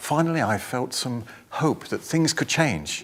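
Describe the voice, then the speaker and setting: With an English accent, a man is speaking. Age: 60s. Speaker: patient sharing recovery story. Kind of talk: testimony.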